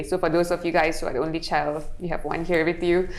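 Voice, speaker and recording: Audible room echo surrounds a woman with fairly low pitch and fairly even intonation. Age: 20s. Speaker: model and influencer. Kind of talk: casual interview chat.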